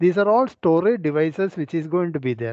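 A high-pitched male voice, dry with no echo, over a quiet background. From India. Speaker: forensic scientist, webinar speaker. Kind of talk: lecture with live software demonstration. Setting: video call webinar with screen sharing. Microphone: video call.

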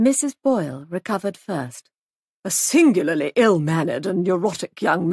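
A quiet background while reading aloud in a natural voice

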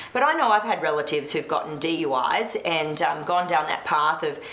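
Audible room echo surrounds a woman's voice. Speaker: talk show host. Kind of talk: panel discussion. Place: studio.

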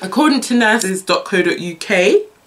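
With lively intonation, a woman speaks in a fairly bright tone. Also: medium pitch for a woman, moderate pace.

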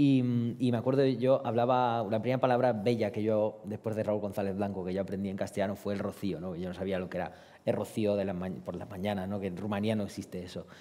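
A man speaks very fast with a dark, mellow tone. His pitch is fairly low and his intonation fairly even. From Romania. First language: Romanian (speaking Spanish). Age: 30s. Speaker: poet. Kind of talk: panel discussion. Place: hall. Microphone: headset.

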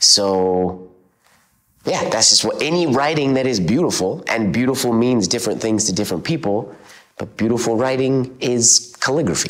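With lively intonation, the man talks at a moderate pace while the background stays quiet. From central Alberta, Canada. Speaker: calligrapher; interviewee. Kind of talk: interview; interview answer. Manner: casual, with fillers. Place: home room. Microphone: lapel.

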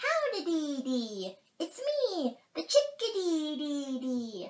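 Using a put-on character voice, a woman speaks slowly at a high pitch, her melody sweeping through very wide swings. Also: slightly mellow tone.

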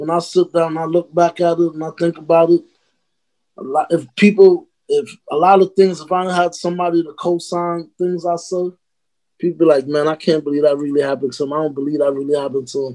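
With a New York accent, a man speaks in a high pitch with a dark, mellow tone and fairly even intonation. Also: fairly quick pace, quiet background. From Brooklyn, New York. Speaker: rapper; podcast guest. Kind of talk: casual interview. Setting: video call. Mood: reflective, earnest. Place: home room. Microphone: video call.

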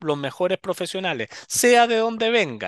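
Lively intonation in a dry sound with no echo, against a quiet background. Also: man. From Chile, Valparaíso region. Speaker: political candidate; candidate. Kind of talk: interview. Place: office. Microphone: headset.

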